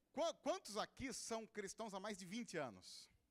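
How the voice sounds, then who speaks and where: A man with a high voice speaks in a São Paulo interior accent. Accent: caipira accent of inland São Paulo. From interior of São Paulo state, Brazil. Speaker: pastor. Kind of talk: sermon. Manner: informal and humorous.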